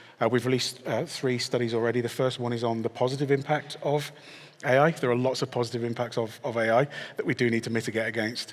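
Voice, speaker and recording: Speaking very fast in a British accent, a man keeps a medium pitch and a monotone, flat intonation. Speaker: technology executive, panellist. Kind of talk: panel discussion.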